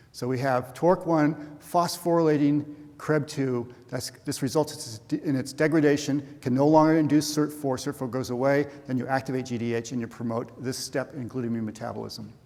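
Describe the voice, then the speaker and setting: A man talks with a fairly high pitch and fairly even intonation. Noticeable background noise runs under his voice. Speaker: professor, cancer researcher. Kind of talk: scientific conference talk. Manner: fast; halting, many fillers and restarts.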